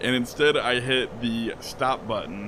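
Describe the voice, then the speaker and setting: Noticeable background noise sits behind a man speaking at a fairly slow pace and a medium pitch. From farm upbringing. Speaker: gaming YouTuber. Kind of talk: casual gameplay commentary.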